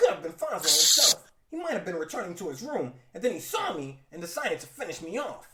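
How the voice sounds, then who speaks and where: A man uses a put-on character voice, raised and projected, with a high pitch and very wide pitch swings. He talks at a very fast pace, his loudness swinging widely. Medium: read story. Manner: quippy, breezy.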